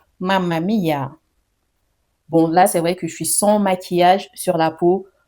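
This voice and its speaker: This woman talks fairly slowly, her medium pitch carried by fairly even intonation. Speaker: beauty vlogger. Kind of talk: product review tutorial. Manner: casual, chatty; soft-spoken at times.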